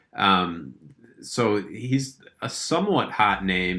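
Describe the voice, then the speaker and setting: A man's very deep, low voice, bright and sharp in tone, with vocal fry and lively intonation. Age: 20s. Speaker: college basketball analyst. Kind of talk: casual chat.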